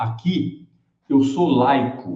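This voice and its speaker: This man's voice has a dark, mellow tone and sounds somewhat breathy. Audible echo from the room surrounds it. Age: 70s. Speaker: electric mobility channel host. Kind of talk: live stream talk. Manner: casual, conversational.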